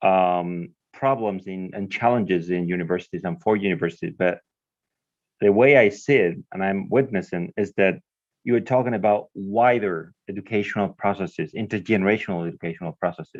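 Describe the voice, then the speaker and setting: With a Spanish accent, the speaker goes at a fairly quick pace in a dry, close sound with no echo. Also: man, fairly low pitch for a man, ordinary pitch variation, quiet background. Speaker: professor. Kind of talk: live interpreting in a video conference.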